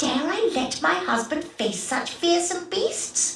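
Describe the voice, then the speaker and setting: Putting on a character voice, a woman speaks at an extremely high pitch with very wide pitch swings and a fairly slow pace, with a slight echo around her. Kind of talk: archaic Elizabethan speech. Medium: video game. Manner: theatrical, falsely sweet.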